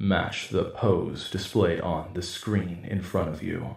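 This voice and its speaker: A man's put-on character voice, very deep and low, resonant, at a fairly slow pace with slight echo. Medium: audio drama. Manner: cold, mechanical commands.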